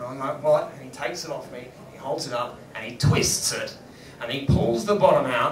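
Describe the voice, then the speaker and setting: Loudness swings widely at a moderate pace, with noticeable background noise behind the voice. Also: man. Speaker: stand-up comedian. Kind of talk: live comedy storytelling. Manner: animated, profane.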